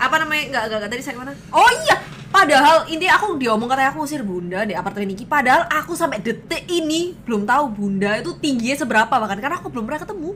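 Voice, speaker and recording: A woman with a strong Surabaya accent speaks at a very fast pace and a high pitch, with hardly any pauses. Her very wide pitch swings and big swings in loudness stand out over noticeable background noise. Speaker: streamer. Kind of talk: casual chat.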